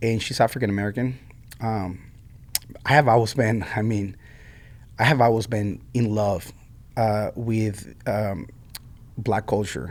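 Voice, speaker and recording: With a Mexican accent, a man speaks at a fairly slow pace and fairly low pitch, keeping a fairly even intonation broken by long, frequent pauses. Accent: Mexican Spanish accent, noticeable. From Mexico. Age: 40s. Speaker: coffee shop owner. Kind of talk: interview. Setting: music school room. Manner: casual, many fillers and repetitions.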